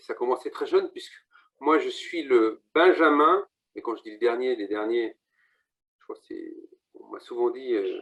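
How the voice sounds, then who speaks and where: A man talks at a fairly slow pace with long, frequent pauses. His loudness swings widely. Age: 50s. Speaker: real estate agent. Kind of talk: interview.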